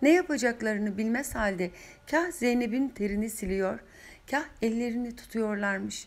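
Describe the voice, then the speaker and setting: At a moderate pace, a woman talks in a fairly high pitch with ordinary pitch variation. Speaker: author reading her own novel. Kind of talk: audiobook reading. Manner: emotional, occasionally faltering.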